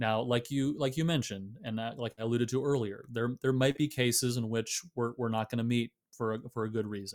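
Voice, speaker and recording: A man in a plain, everyday voice, at a fairly quick pace with hardly any pauses and fairly even intonation. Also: medium pitch for a man. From US Midwest, Michigan. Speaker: theologian and author. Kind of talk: interview.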